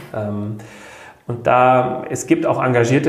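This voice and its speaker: Audible room echo and noticeable background noise around a man with fairly even intonation. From rural Germany. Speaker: social worker. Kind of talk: interview.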